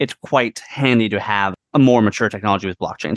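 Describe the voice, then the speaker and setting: Someone speaks at a very fast pace with an American accent. The sound is dry and close, with no echo. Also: man. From US Pacific Northwest, Whidbey Island near Seattle. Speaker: AI strategy consultant. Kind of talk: interview conversation.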